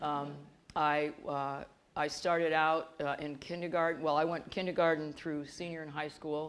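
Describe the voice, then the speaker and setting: A woman's very deep, low voice, monotone and flat, at a moderate pace with audible room echo. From US Midwest, Bloomington, Illinois. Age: 60s. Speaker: professor. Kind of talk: interview on stage. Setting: auditorium stage with audience.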